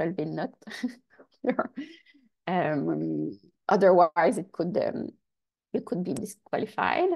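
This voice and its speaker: A woman with a French accent, at a very slow pace with long, frequent pauses. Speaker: research funding agency advisor. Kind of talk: workshop presentation; Q&A answer in English. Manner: halting.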